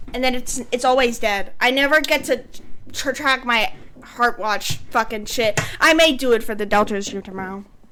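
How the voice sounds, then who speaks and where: In an American accent, a woman speaks loudly at a high pitch and a moderate pace. Her tone is animated, with ordinary pitch variation. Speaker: streamer. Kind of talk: casual chat.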